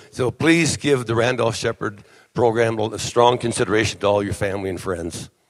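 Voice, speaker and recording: A man with an American accent has an ordinary speaking voice and a medium pitch. He talks at a moderate pace with ordinary pitch variation. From Wisconsin. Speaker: blind vendor association officer. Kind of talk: convention speech.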